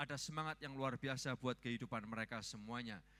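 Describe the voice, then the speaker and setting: With an East Javanese accent, a man speaks in an animated tone, his bright, sharp voice showing ordinary pitch variation. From Surabaya, East Java, Indonesia. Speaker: pastor. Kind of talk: sermon. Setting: church.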